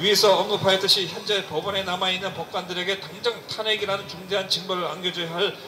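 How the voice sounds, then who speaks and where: With music playing behind him, a man uses a raised, projected voice, pitched high. He moves at a fairly quick pace with fairly even intonation. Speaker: youth committee chairman of a civic forum. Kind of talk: public reading of a letter at a rally. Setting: outdoors.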